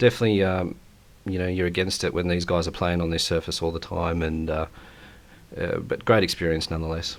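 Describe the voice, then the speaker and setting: Very fast, flat monotone delivery in an Australian accent. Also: man, very deep, low pitch for a man. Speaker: bowls player and guest commentator. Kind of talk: live sports commentary. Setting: commentary box. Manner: hesitant, many fillers.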